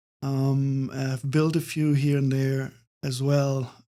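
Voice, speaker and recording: With a German accent and a dark, mellow tone, the speaker goes at a fairly slow pace on a very clean recording with a silent background. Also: man. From northern Germany, Hamburg outskirts. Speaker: architect. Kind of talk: casual interview. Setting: live event recording. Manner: hesitant, many fillers.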